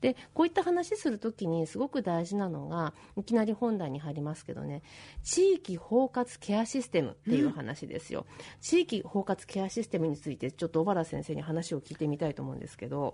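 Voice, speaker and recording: A woman at a fairly quick pace, with big swings in loudness. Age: 40s. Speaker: radio host and physician. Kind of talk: casual radio interview.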